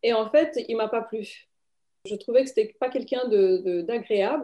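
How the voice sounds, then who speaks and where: A woman with a Romanian accent, a high pitch and a dark, mellow tone, with lively intonation at a fairly slow pace. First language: Romanian (speaking French). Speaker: writer and publisher. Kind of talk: interview. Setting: video call.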